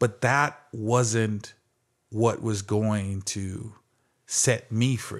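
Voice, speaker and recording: A very slow, fairly even delivery from a man with an American accent and fairly low pitch, on a very clean recording with a silent background. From Phoenix, Arizona. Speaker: former athlete and speaker. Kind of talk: interview.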